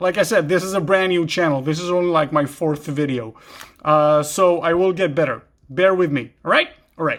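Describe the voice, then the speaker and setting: A man talks at a moderate pace in a high pitch. His pitch varies an ordinary amount. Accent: Israeli. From Israel. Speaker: gear YouTuber. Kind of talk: product show-and-tell. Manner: halting, many fillers.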